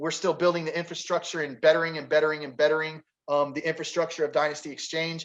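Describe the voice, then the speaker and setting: A man speaks with an animated tone. His voice sounds bright and sharp. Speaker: forex trading educator. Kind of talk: webinar presentation. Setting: online webinar.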